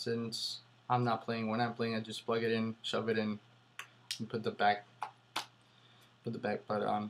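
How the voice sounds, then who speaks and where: At a moderate pace, a man talks with medium pitch. His intonation is monotone and flat. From Puerto Rico. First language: Spanish. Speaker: airsoft player. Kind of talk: casual product review to camera. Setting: home laptop recording. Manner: hesitant, many fillers.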